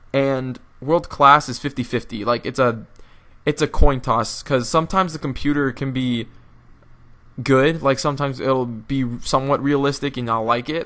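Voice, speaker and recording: Speaking with an American accent, a man has a bright, sharp tone. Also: medium pitch for a man, fairly even intonation, moderate pace. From US. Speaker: gaming youtuber. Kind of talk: gameplay commentary. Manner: halting.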